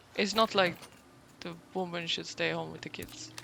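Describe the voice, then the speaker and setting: A woman in a Swedish accent over noticeable background noise. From Sweden. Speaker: gaming streamer. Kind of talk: casual chat.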